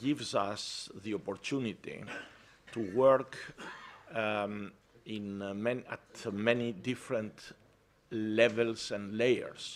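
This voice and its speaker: Speaking at a very slow pace with a non-native accent, a man leaves long, frequent pauses. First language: not English. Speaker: environmental organization president. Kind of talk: conference talk. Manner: halting.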